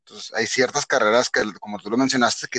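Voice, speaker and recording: The recording is dry and close, with no echo. A man speaks at a medium pitch. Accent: Mexican. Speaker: podcast co-host. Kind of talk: casual chat.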